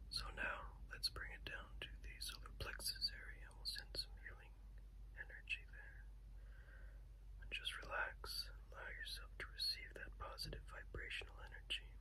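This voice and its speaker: Soft-spoken whispering over light background noise. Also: man, moderate pace. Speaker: reiki healer. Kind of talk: reiki healing session, relaxing guided talk. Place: home room. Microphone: phone near.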